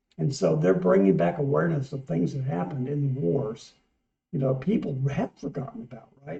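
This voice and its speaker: Fairly quick male speech at medium pitch, with a dark, mellow tone, vocal fry and very wide pitch swings. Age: 60s. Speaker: music reaction channel co-host. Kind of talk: casual chat.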